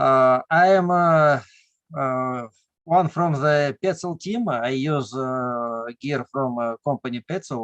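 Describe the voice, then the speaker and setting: A man talks at a very slow pace with medium pitch and ordinary pitch variation. The sound is dry and close, with no echo. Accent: Russian. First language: Russian. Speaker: caver and tree climber. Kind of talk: casual chat. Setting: video call. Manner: halting.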